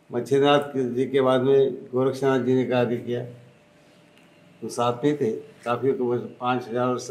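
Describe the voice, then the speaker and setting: In a room with audible echo, a man at medium pitch speaks in a monotone, flat intonation. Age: 80s+. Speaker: spiritual leader. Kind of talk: interview.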